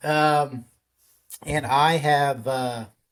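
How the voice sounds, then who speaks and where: This is a man with a Texan accent. His pitch is fairly high. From Texas, Dallas. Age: 50s. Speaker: podcaster. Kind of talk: personal testimony. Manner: halting, many fillers.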